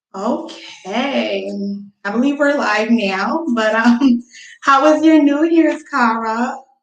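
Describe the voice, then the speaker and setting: There is audible room echo as a woman speaks very slowly in a high pitch with ordinary pitch variation. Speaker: podcast host. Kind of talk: casual chat. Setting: live stream.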